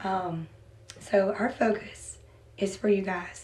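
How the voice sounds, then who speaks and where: Fairly even intonation from a woman at medium pitch, with noticeable background noise and audible room echo. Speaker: teacher. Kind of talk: classroom lesson.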